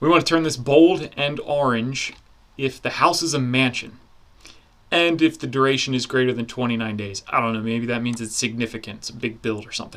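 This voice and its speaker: At a fairly brisk clip, a man talks in a normal speaking voice, his pitch mid-range and varying by ordinary amounts. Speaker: online course instructor. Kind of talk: software tutorial. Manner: casual.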